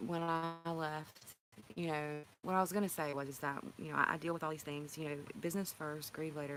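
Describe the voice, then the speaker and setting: A woman speaks with a North Carolina accent. Her voice has a very deep, low pitch. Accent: Southern US (North Carolina). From North Carolina, near Raleigh. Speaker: healthcare worker and livestream vlogger. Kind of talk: casual livestream chat. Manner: halting, emotional.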